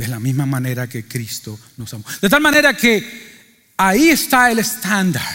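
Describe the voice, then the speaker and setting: A man speaks in a raised, projected voice at a high pitch, with very wide pitch swings and big swings in loudness. His pace is fairly slow, yet there are hardly any pauses. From Cuba. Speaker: pastor. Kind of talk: sermon. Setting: church.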